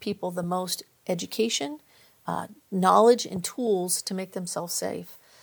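Speaking at a fairly slow pace with an American accent, a woman has an unremarkable speaking voice and ordinary pitch variation. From California, Central Valley (Visalia). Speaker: community college chancellor. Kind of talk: interview.

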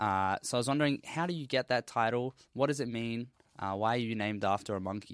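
In an Australian accent, a man talks at medium pitch and a fairly quick pace with ordinary pitch variation. The sound is dry and close with no echo, in a very clean recording with a silent background. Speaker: university science student. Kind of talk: casual discussion.

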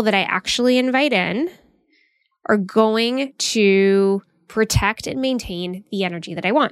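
In a very clean recording with a silent background, a woman with a fairly high pitch talks at a fairly slow pace in a plain, everyday voice. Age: 40s. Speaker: podcast host, career coach. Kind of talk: solo podcast monologue, motivational advice. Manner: casual, conversational.

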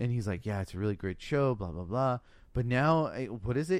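The recording is very clean and the background silent. Words come at a fairly quick pace. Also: man. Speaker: podcast co-host. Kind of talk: casual chat.

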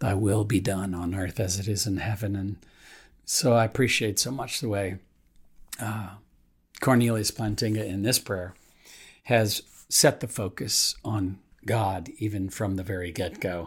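A man speaks fairly slowly with a fairly low pitch, a warm tone and fairly even intonation, somewhat breathy. Long, frequent pauses break up his speech in a very clean recording with a silent background. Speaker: pastor. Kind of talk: devotional reading and prayer. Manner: halting, with frequent fillers; warm, earnest, conversational.

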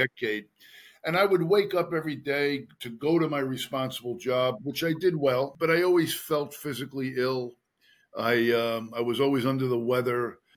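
A man's unremarkable speaking voice, medium-pitched, with ordinary pitch variation and a moderate pace. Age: 60s. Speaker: retired detective and author. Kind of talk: interview.

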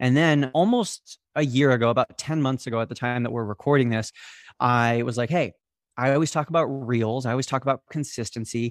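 In a very clean recording with a silent background and a dry, close sound with no echo, a man with an American accent speaks at a medium pitch with fairly even intonation in an unremarkable speaking voice. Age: 20s. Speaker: former college football player, social media marketer. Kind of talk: podcast interview.

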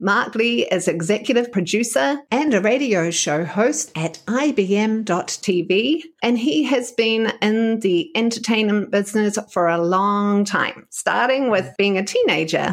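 Speaking very slowly in a New Zealand accent, a woman uses lively intonation and hardly any pauses. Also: very even loudness. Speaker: podcast host and communications coach. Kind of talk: interview.

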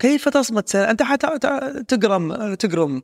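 A man's animated voice with very wide pitch swings on a very clean recording with a silent background. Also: dry, close sound with no echo. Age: 50s. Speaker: self-development coach. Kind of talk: motivational talk.

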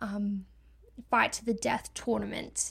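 This is a woman's voice. She speaks with an Australian accent. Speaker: podcast host and book reviewer. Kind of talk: casual book review podcast, solo. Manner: stumbling, repeats words; casual, chatty, self-deprecating.

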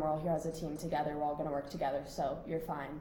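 A woman at a fairly low pitch with an American accent, amid audible room echo and noticeable background noise. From Scottsdale, Arizona. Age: young. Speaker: college soccer player. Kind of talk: casual chat. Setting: hotel room.

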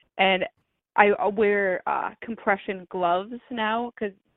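A normal speaking voice, its intonation fairly even. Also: woman. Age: 20s. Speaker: arthritis patient. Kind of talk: interview.

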